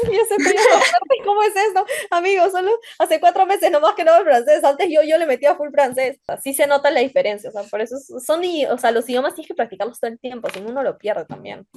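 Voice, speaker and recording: A woman with a Peruvian accent races along at a very fast pace, her extremely high voice making very wide pitch swings and big swings in loudness. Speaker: hospitality student. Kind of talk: casual interview chat. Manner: animated, halting with fillers.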